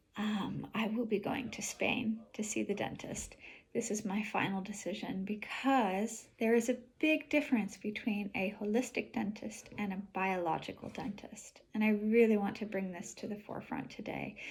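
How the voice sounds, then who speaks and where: A woman with a fairly high pitch and vocal fry speaks at a moderate pace with hardly any pauses. Her intonation stays fairly even. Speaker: polarity therapist and vlogger. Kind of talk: personal video diary. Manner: careful enunciation.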